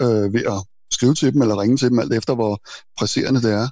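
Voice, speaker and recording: A man's very fast speech carries ordinary pitch variation. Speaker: self-employed programmer and IT journalist. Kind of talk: casual interview.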